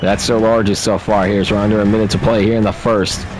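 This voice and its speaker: A man's fairly low voice amid noticeable background noise and audible room echo. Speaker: video game commentator. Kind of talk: live play-by-play commentary. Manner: fast; subdued, not very excited.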